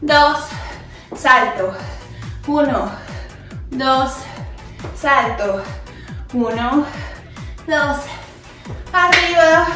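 A woman's raised, projected voice at a very slow pace with long, frequent pauses and ordinary pitch variation, over clear music in the background and audible room echo. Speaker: fitness instructor. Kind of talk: workout instruction cues. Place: home room.

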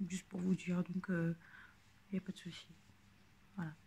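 A woman speaks in a somewhat breathy voice. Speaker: YouTube vlogger. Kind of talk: casual vlog monologue. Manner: halting, many fillers.

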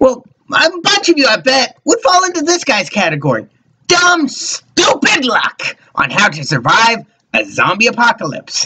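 Fairly slow delivery in a fairly high-pitched, put-on character voice. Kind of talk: spooky host banter. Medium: read story. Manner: playful, teasing.

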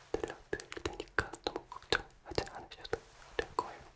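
A soft-spoken man whispering at a moderate pace, calm, gentle in tone. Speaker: ASMR creator. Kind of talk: soft spoken ASMR talk. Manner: soft ASMR whisper, calm and gentle. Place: home room. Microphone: studio mic.

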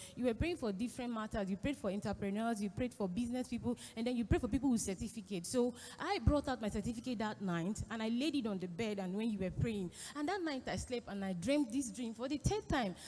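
A woman's fairly high-pitched voice at a very fast pace, with light background noise. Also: ordinary pitch variation. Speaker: congregant with a question. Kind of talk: testimony. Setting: church. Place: church. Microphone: handheld.

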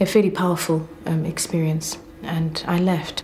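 A woman with a fairly low pitch speaks in a monotone, flat way over light background noise. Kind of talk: interview answer. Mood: earnest, emotional recollection. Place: office. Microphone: lapel.

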